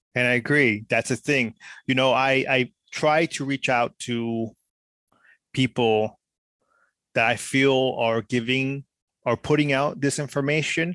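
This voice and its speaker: Here a man with a Spanish accent speaks at medium pitch in a bright, sharp tone, with fairly even intonation. He takes long, frequent pauses, and the recording is very clean with a silent background. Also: dry, close sound with no echo. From Mexico. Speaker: podcast host. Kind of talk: casual chat.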